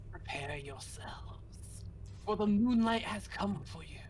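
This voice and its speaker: Put-on character voice, delivered at a fairly slow pace. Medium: actual play. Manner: solemn, oracular.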